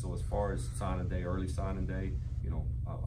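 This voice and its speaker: Loud background noise surrounds a man's voice. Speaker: newly hired head football coach. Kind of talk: press conference answer. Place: meeting room. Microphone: camera far.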